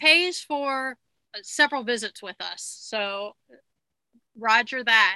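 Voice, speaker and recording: A bright, sharp voice with an American accent, fairly slow, with ordinary pitch variation, in a very clean recording with a dry, close sound, no echo and a silent background. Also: woman. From Long Island, New York. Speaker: podcast host, dietitian. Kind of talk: interview, casual chat.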